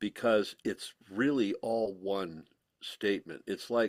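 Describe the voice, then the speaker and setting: With an American accent, a man speaks at a medium pitch and a fairly slow pace in a normal speaking voice. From US Pacific Northwest, eastern Washington. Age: 60s. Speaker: rock musician and composer. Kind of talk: casual interview chat.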